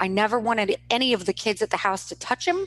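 The sound is close and dry, without any echo. It is a woman who talks. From US Midwest, Kansas City, Missouri. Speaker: former teacher, stay-at-home mom. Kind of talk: interview conversation.

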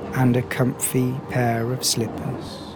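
A man speaks at a very slow pace in a gentle tone and a medium pitch. Music plays in the background. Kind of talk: sleep hypnosis guided relaxation. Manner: slow, soft, hushed, soothing, with long pauses; gentle, rhythmic, monotone-like lulling cadence.

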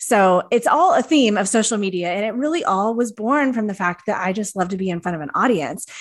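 A woman with an ordinary speaking voice, fairly high in pitch with lively intonation, talks at a fairly quick pace with hardly any pauses. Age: 40s. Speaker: social media coach and fitness influencer. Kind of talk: casual chat.

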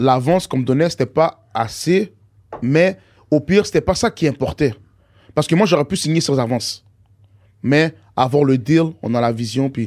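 A man's fairly high pitch with lively intonation at a moderate pace, broken by long, frequent pauses. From Montreal, Saint-Michel. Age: 20s. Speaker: rapper. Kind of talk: casual chat.

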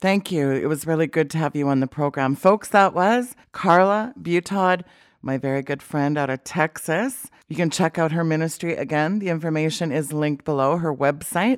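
A woman with a very deep, low voice and a Canadian accent speaks at a moderate pace with ordinary pitch variation and hardly any pauses, on a very clean recording with a silent background. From Canada. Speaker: talk show host. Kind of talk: religious talk show. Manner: animated.

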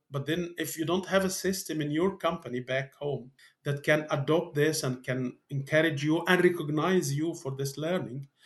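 A man with a fairly high pitch speaks at a fairly quick pace. His voice is somewhat breathy, with ordinary pitch variation. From Middle East. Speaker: organisational learning expert. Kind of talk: interview. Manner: halting.

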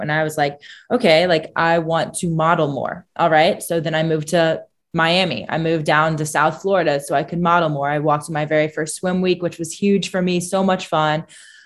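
A woman with an unremarkable speaking voice, fairly low in pitch, at a fairly quick pace. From US Midwest, small-town Indiana. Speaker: beauty pageant winner. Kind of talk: casual interview.

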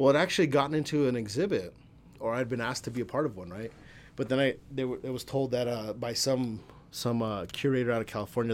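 Recorded very cleanly with a silent background, a man with an American accent talks at a very fast pace and a medium pitch. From El Paso, Texas. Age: 40s. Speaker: comedian and photographer. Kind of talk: casual chat. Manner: animated, profane.

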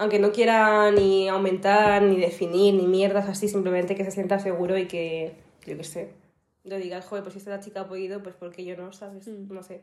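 This woman speaks at a fairly quick pace with a medium pitch and monotone, flat intonation. Her loudness swings widely. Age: 20s. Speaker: fitness influencer and student. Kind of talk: interview.

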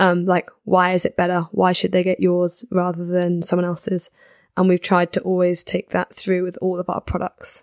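A woman with a southern English accent speaks at a moderate pace and a medium pitch in a monotone, flat intonation, the sound dry and close with no echo. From southern England, Guildford. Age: 20s. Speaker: snowboard wear business owner. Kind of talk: casual chat. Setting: studio.

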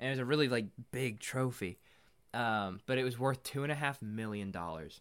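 With an American accent, a man talks in a normal speaking voice at medium pitch and a fairly quick pace, with ordinary pitch variation, in a very clean recording over a silent background. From Indiana. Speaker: podcast co-host. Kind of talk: casual chat.

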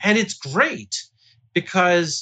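A man speaks with an American accent. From Baltimore, Maryland, US. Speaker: screenwriter and children's author. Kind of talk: interview conversation. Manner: animated, laughs often.

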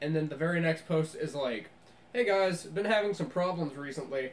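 Speaking at a fairly quick pace, a man uses lively intonation amid noticeable background noise. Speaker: podcast co-host. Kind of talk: casual chat. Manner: loud.

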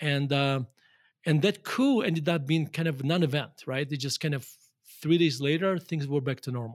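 In a Russian accent, a man with a fairly high pitch talks at a moderate pace on a very clean recording with a silent background. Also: ordinary pitch variation. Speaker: value investor. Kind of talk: interview conversation.

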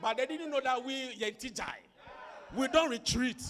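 A man speaks in a raised, projected voice at an extremely high pitch, animated, with ordinary pitch variation. His pace is fairly slow, and there is noticeable background noise. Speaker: preacher. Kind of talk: sermon with call-and-response prayer. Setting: church with congregation. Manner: loud, commanding, rhythmic, repeating phrases for the crowd to echo; animated, exhortative, urging the congregation to clap and shout.

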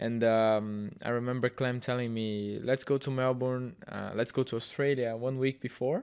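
A man's medium-pitched voice with a Portuguese accent and monotone, flat intonation, at a moderate pace with hardly any pauses. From Brazil. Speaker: racing driver. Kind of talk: casual chat. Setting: studio.

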